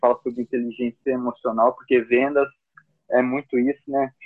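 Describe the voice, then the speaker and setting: A man talks in a normal speaking voice at a medium pitch. His pace is moderate. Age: 30s. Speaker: account manager. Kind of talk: casual interview.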